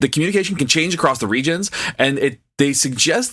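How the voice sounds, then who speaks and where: This man talks with an American accent. His intonation is lively. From US South. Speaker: podcast co-host. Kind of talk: casual chat.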